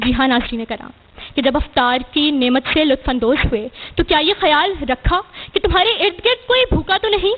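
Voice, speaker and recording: A high-pitched woman's voice with very wide pitch swings, over noticeable background noise. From Pakistan. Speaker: debater, public speaker; college student. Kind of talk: competition speech, religious oration. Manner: impassioned, declamatory.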